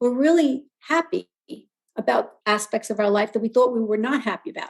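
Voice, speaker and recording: A woman's fairly high, fairly quick voice, a plain, everyday voice with ordinary pitch variation. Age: 60s. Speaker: wellness guest speaker. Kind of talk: podcast interview.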